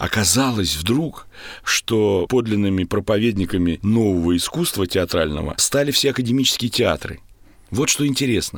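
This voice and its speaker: A man with a fairly low pitch and lively intonation speaks at a moderate pace and very even loudness. The recording is very clean, with a silent background. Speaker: theatre actor and director. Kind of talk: interview. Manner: trained stage speech.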